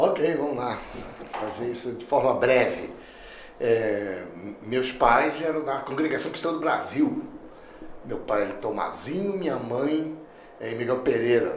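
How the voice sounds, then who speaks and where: With audible room echo and noticeable background noise, a man speaks at a medium pitch and fairly slow pace, with ordinary pitch variation and long, frequent pauses. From Rio de Janeiro, Brazil. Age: 60s. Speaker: pastor. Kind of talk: podcast interview.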